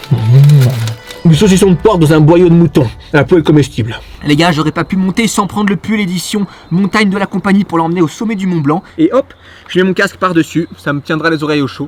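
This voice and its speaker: A man speaks at a fairly quick pace in a high pitch with ordinary pitch variation. Noticeable background noise runs underneath. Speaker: YouTuber doing a challenge. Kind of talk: vlog narration.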